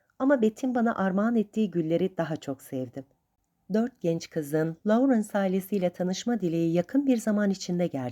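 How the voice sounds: A natural reading voice is heard, and the background stays quiet.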